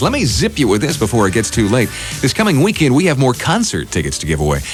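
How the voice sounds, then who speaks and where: Over music in the background, a man speaks very fast in an upbeat tone at medium pitch, his pitch swinging very widely while his loudness stays very even. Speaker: radio morning show host. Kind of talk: radio DJ morning show patter. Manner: upbeat, friendly, chatty.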